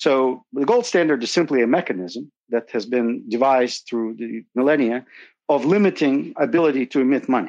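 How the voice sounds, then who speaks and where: With a Russian accent, a man speaks at a medium pitch with ordinary pitch variation over a quiet background. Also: moderate pace. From Soviet Union. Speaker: asset manager. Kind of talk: interview.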